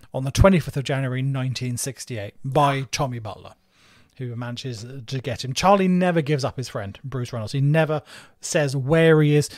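A man with a southeast English accent and a fairly high pitch talks at a fairly quick pace with ordinary pitch variation on a very clean recording with a silent background. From southeast England, Margate, Kent. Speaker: podcast co-host. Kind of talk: storytelling.

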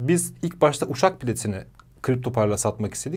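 The man talks at a fairly quick pace. His tone is dark and mellow. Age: 30s. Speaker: entrepreneur. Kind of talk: interview.

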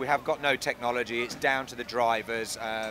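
Over noticeable background noise, a man speaks at a moderate pace with monotone, flat intonation and a dry sound with no echo. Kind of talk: interview answer. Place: street. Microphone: handheld.

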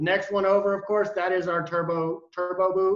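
Audible room echo and a quiet background, with speech at a fairly quick pace. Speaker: presenter. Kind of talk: product presentation. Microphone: video call.

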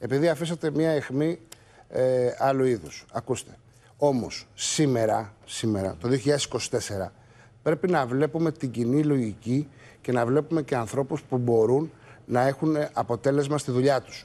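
Fairly slow in pace, a man speaks at a medium pitch with a dark, mellow tone and ordinary pitch variation. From Greece (Crete and Mani roots); Greece. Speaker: politician. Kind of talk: TV interview. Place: studio. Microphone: lapel.

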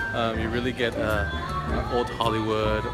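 A man over loud background noise. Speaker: vlogger. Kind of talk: casual talk to camera. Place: cafe. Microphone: phone near.

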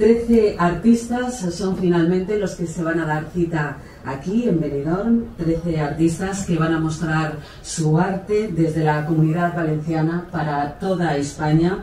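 A woman speaks at a fairly low pitch with ordinary pitch variation. Room echo is audible, along with light background noise. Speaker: presenter. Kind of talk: formal event presentation. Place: stage. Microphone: pa.

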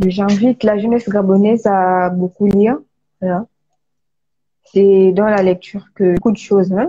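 A woman of medium pitch speaks at a fairly slow pace with long, frequent pauses, very even loudness, fairly even intonation, a dark, mellow tone and a somewhat breathy sound. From Gabon. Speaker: author. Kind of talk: live stream interview. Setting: online live video call. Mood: earnest, calm. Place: home room. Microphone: video call.

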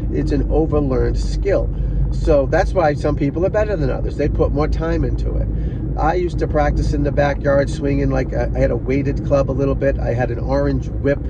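The recording of this man has a dry sound with no echo. Loud background noise runs underneath. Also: fairly quick pace. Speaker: golf instructor. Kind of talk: casual vlog chat. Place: car. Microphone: phone near.

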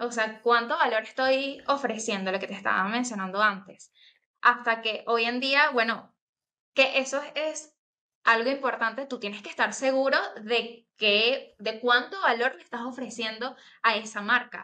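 A woman with a Venezuelan accent speaks fairly slowly in a fairly high, bright, sharp voice with ordinary pitch variation. Her loudness swings a lot against a quiet background. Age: 20s. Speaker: graphic designer; interview guest. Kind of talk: interview. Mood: cheerful, smiling. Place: home room. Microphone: video call.

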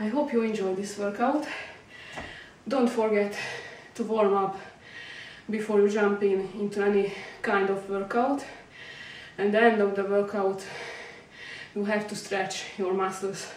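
A woman at a fairly slow pace, with long, frequent pauses and audible room echo. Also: fairly even intonation. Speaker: fitness instructor. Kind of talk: tutorial. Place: home room. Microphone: camera far.

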